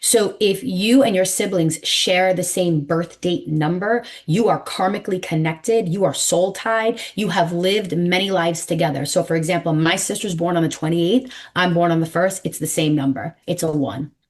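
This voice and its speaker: A woman with a fairly low pitch talks in an animated tone with hardly any pauses. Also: ordinary pitch variation, moderate pace. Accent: New York. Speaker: numerologist. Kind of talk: interview. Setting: podcast.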